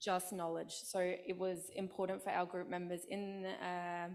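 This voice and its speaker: A woman with an Australian accent talks at a fairly slow pace and a fairly low pitch. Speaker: student panel presenter. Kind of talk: conference panel Q&A answer.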